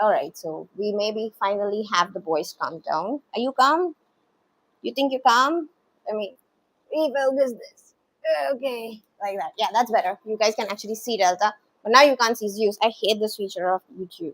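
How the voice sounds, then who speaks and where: With an animated tone and lively intonation, a woman speaks at a moderate pace and fairly high pitch, her loudness swinging widely in a dry, close recording with no echo. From India (Bengali family). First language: Bengali. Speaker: dog content creator. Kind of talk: livestream chat with viewers.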